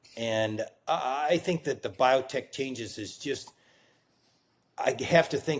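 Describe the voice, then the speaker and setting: This man has an unremarkable speaking voice at a medium pitch. He talks at a fairly slow pace with ordinary pitch variation. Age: 60s. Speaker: physician and biotech executive. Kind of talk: casual interview.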